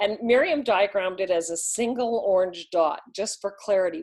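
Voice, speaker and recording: A woman's unremarkable speaking voice at a medium pitch, with ordinary pitch variation. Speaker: relationship coach. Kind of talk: lesson.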